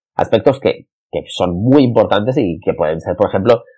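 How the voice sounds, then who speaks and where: Vocal fry runs through this man's speech. He talks at a fairly quick pace, with very wide pitch swings. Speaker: podcast host and marketing consultant. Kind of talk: solo podcast monologue. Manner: halting, repeats words.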